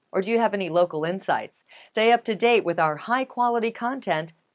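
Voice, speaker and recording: Over a quiet background, a woman talks at a fairly quick pace with lively intonation. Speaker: presenter. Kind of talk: scripted presenter intro. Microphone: lapel.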